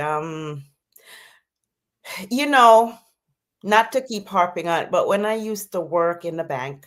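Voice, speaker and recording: In a Jamaican accent, a woman speaks at a fairly slow pace with lively intonation. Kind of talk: interview answer.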